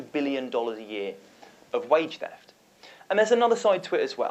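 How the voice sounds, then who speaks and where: Talking at a very fast pace, a man with a British accent uses lively intonation. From United Kingdom. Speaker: nonprofit founder and advocate. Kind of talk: panel discussion.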